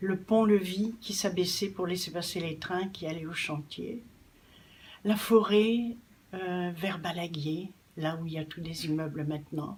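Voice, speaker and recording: Somewhat breathy, a woman speaks at a very slow pace with a fairly low pitch and ordinary pitch variation. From northern France. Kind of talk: personal testimony.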